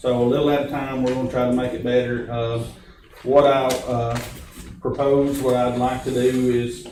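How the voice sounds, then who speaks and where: A man speaks at medium pitch with a Tennessee accent and monotone, flat intonation. Noticeable background noise and audible room echo fill the recording. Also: moderate pace. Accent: Southern US (Tennessee). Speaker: county official chairing meeting, also a preacher. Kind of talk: public meeting discussion. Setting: county meeting room, recorded for public. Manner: loud.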